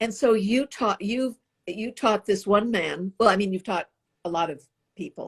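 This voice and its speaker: A woman speaks at a moderate pace in a somewhat breathy, medium-pitched voice. The sound is dry and close with no echo, over a quiet background. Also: ordinary pitch variation. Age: 80s+. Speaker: interviewer. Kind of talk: casual chat. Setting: video call. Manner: halting.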